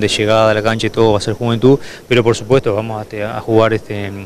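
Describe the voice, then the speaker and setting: Over light background noise, a man talks in a fairly low pitch with fairly even intonation, the sound dry with no echo. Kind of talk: interview answer. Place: open country. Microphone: handheld.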